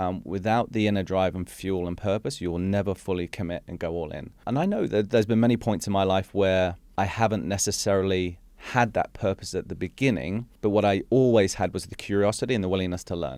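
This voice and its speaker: This man has a very deep, low pitch with ordinary pitch variation, speaking at a fairly quick pace with hardly any pauses. The recording is very clean, with a silent background. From Hong Kong. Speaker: executive coach and speaker. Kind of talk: podcast interview.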